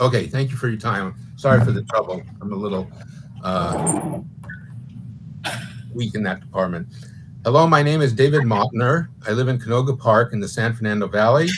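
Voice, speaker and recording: Over noticeable background noise, a man talks at a moderate pace and medium pitch with ordinary pitch variation and long, frequent pauses. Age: 70s. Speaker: member of the public. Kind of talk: public hearing testimony.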